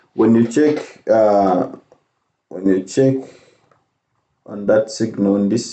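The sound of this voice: At a slow pace, a man speaks at fairly low pitch with a dark, mellow tone.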